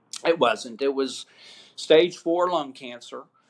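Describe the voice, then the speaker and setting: Here a man talks. The intonation is fairly even throughout. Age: 60s. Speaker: marketing agency owner, cancer patient. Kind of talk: interview testimony.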